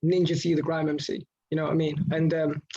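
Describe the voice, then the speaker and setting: A high-pitched man talking at a very fast pace. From Indonesia. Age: 20s. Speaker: rapper and finance educator. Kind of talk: radio interview. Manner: halting, many repetitions.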